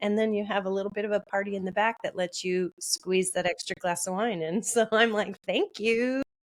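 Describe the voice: The reading is plain and aloud, with intonation that stays fairly even.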